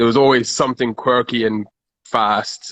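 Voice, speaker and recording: A man speaks at a medium pitch and a moderate pace. His intonation is flat and monotone. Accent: South African. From South Africa. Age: 30s. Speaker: car enthusiast. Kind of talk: casual chat.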